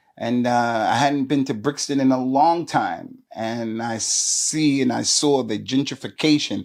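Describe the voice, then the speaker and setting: This man, with a fairly high pitch, delivers his words at a moderate pace. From US Northeast, New Jersey. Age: 60s. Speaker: Islamic preacher. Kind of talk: interview. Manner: animated.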